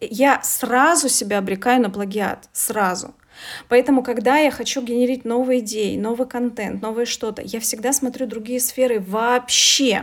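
Her pitch is high for a woman, and she talks at a moderate pace with fairly even intonation. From Russia, Veliky Novgorod. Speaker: coach and English teacher. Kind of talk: interview.

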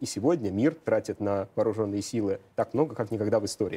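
The man's tone is dark and mellow. He speaks very fast. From Moscow, Russia. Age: 30s. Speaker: economist. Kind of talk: interview.

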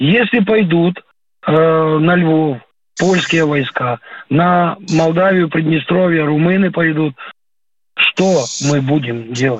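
A man's fairly high voice moves at a very slow pace. His loudness stays very even, broken by long, frequent pauses. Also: ordinary pitch variation. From Ukraine, Kyiv region. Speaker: retired warrant officer calling in. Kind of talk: radio phone-in call.

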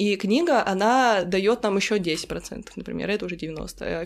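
With a normal speaking voice, a woman talks at medium pitch with ordinary pitch variation. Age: 20s. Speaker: fan community admin. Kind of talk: casual chat.

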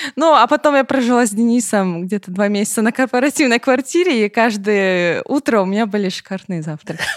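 Talking at a very fast pace, a woman speaks with lively intonation. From southern Russia, Rostov-on-Don. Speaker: middle manager. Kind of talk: casual chat.

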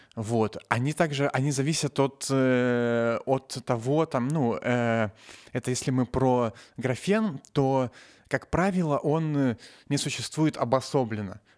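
Delivered at a very slow pace with ordinary pitch variation and very even loudness, the voice sounds dry and close with no echo on a very clean recording with a silent background. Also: man, medium pitch for a man. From Novosibirsk, Russia. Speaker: nanotechnologist, science popularizer. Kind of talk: casual chat. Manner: halting, many fillers.

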